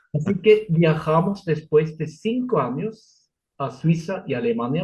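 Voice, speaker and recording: A man with a non-native accent speaks fairly slowly, his fairly high voice moving in very wide pitch swings. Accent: foreign accent in Spanish, noticeable. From Switzerland. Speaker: Lutheran pastor. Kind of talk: interview. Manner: halting, with fillers and self-corrections.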